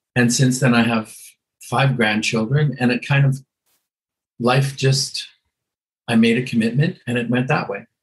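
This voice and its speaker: With a Canadian accent, a man speaks at a moderate pace and medium pitch in a somewhat breathy, monotone, flat intonation, taking long, frequent pauses. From western Canada (Edmonton, Alberta). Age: 70s. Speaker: hairdresser. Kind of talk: interview.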